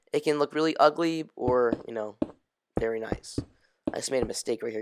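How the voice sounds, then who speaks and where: The speaker mumbles at a fairly quick pace. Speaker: gaming youtuber. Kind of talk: tutorial. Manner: mumbling; casual, rambling.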